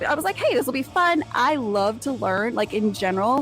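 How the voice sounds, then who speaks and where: High-pitched woman with an American accent, fairly quick, with very wide pitch swings over noticeable background noise. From Texas. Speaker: podcast host. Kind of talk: solo podcast monologue. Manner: casual, chatty.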